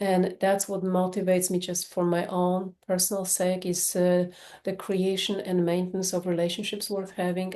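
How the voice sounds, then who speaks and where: A woman with a Polish accent speaks at a moderate pace and medium pitch, her dark, mellow tone held in monotone, flat intonation. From Poland. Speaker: sex therapist. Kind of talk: podcast interview.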